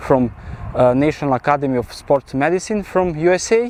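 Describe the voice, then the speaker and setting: A man talks in a fairly high pitch. The sound is dry and close with no echo, over noticeable background noise. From Serbia, central rural region. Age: 20s. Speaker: personal trainer and vlogger. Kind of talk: casual vlog narration. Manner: halting, many fillers.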